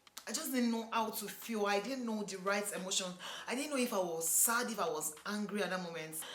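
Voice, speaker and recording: A woman talks at a fairly quick pace with ordinary pitch variation. Noticeable background noise runs under her voice. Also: medium pitch for a woman. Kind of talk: casual talk to camera.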